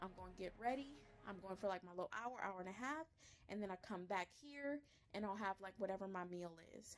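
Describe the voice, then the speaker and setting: Light background noise sits under the recording. The woman speaking uses ordinary pitch variation. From Louisiana. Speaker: voice actor. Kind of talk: casual vlog talk to camera. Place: home room. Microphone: phone near.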